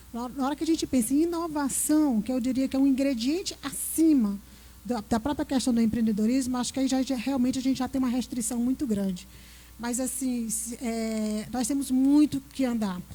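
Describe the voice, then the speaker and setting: In a Piauí accent, a woman with a dark, mellow tone speaks at a high pitch and a moderate pace, with ordinary pitch variation. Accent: Piauí northeastern Brazilian. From Piauí, northeastern Brazil. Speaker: panelist, innovation speaker. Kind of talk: panel discussion.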